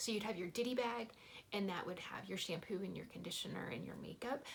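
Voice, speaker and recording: A woman's medium-pitched voice with an American accent and lively intonation. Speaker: family travel vlogger. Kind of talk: casual vlog talk to camera. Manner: fast; animated.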